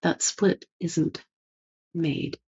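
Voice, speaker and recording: A woman speaks in a fairly low voice, somewhat breathy. Her intonation is fairly even. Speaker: spiritual teacher, channeler. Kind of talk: spiritual talk, monologue. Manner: slow.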